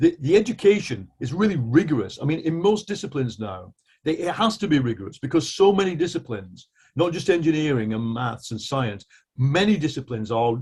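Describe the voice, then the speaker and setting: A man speaks with an English accent. His voice is somewhat breathy, his intonation lively. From England. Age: 60s. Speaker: journalist. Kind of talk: discussion.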